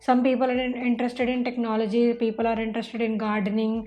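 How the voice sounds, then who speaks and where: High-pitched, monotone speech from a woman at a fairly quick pace, with flat intonation and music in the background. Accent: Indian. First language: Hindi. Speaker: online marketing instructor. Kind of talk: tutorial. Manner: casual, filler-heavy.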